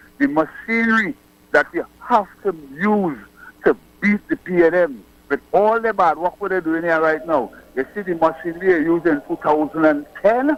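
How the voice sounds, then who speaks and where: In a Trinidadian accent, a man talks at a moderate pace with a high pitch and ordinary pitch variation, the sound dry and close with no echo. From Trinidad and Tobago. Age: 60s. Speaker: caller. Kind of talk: political call-in. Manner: animated.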